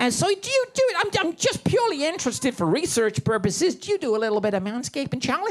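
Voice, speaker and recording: A man speaks at an extremely high pitch with very wide pitch swings and a very fast pace, with hardly any pauses. Music plays in the background. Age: 70s. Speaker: stand-up comedian. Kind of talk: stand-up. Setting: stage with audience. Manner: animated.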